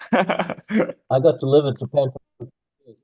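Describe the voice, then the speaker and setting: Somewhat breathy and fairly high for a man, this male voice comes with a non-native accent. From New Zealand. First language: not English. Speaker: guest speaker. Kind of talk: casual chat. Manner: animated.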